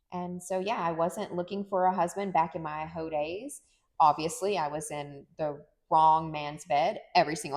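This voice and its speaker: Fairly low in pitch, a woman talks at a moderate pace with ordinary pitch variation. It is a normal speaking voice. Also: very clean recording, silent background. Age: 40s. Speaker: podcast co-host. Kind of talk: casual chat.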